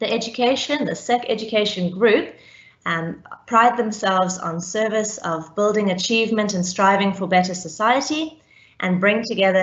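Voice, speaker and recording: A woman talks at a moderate pace. Her voice is somewhat breathy. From South Africa, Cape Town. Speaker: teacher. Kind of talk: panel presentation.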